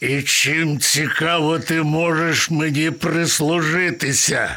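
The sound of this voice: A man puts on a character voice at a fairly high pitch with a bright, sharp tone. He speaks at a slow pace with ordinary pitch variation.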